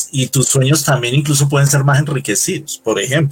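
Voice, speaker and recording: Noticeable background noise runs throughout. Over it, a man talks. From Colombia, Bogotá. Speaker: UFO and spirituality researcher. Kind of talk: interview. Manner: halting, many fillers.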